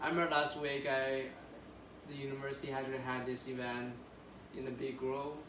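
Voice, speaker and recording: A man at medium pitch talks at a fairly quick pace in a monotone, flat intonation, with long, frequent pauses, noticeable background noise and audible room echo. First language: not English. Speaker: international graduate student. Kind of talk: counseling session. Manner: halting.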